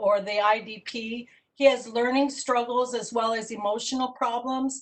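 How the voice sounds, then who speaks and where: A woman talks at a moderate pace with hardly any pauses, her high-pitched voice flat and monotone while her loudness swings widely. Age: 60s. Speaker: parent giving public testimony. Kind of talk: public testimony. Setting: virtual meeting, audio only.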